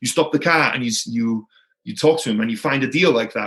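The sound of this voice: A slightly husky edge at a fairly quick pace. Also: man, medium pitch for a man, ordinary pitch variation.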